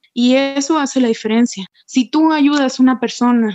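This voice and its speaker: Dry, close sound with no echo, from a woman with a high pitch and ordinary pitch variation. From Mexico, Puerto Vallarta. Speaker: Paralympic athlete. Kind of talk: interview.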